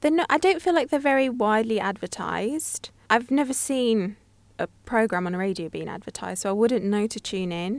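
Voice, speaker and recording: An unremarkable speaking voice comes at a fairly quick pace. Its intonation is lively. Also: woman, fairly high pitch for a woman. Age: 20s. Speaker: journalism student. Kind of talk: casual chat. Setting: radio studio.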